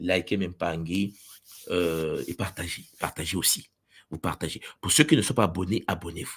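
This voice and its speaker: A man talks at a moderate pace in an animated tone. His pitch varies in an ordinary way. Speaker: spiritual teacher. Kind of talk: livestream teaching. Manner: loud. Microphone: special microphone, sound confirmed good.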